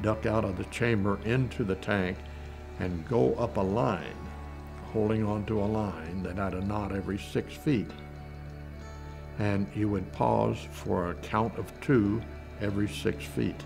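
A man with a very deep, low voice speaks at a fairly slow pace with long, frequent pauses while clear music plays in the background. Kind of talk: interview answer. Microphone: lapel.

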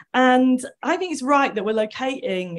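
In a normal speaking voice, a woman talks at a moderate pace with lively intonation over a quiet background. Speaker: audience member. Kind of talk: discussion contribution. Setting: hall with roving microphone. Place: classroom.

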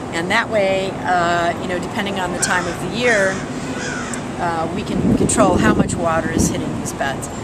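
A woman talks at a moderate pace with ordinary pitch variation, her voice dry with no echo against loud background noise. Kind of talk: interview answer. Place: garden. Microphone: camera far.

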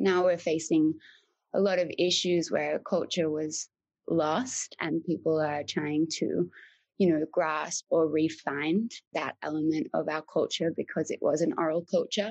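A woman with an Australian accent speaks at a fairly slow pace, the sound dry and close with no echo and the background quiet. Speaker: artist and mentor. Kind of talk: interview conversation.

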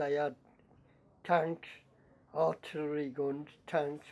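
A man's dark, mellow tone with monotone, flat intonation, with a West Midlands accent and light background noise. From Shropshire / Staffordshire border, England. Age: 80s+. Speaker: war veteran. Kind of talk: interview answer.

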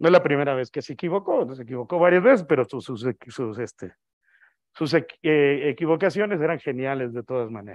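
Against a quiet background, a man talks at a fairly quick pace with lively intonation and big swings in loudness. The sound is dry with no echo, and he leaves long, frequent pauses. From Mexico. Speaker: astronomer, invited speaker; guest lecturer. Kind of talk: lecture. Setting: auditorium with audience, also streamed on video call. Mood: relaxed, humorous. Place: hall.

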